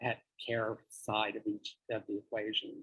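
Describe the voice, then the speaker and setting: A somewhat breathy male voice at medium pitch. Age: 60s. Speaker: charity president, record producer. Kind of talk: interview.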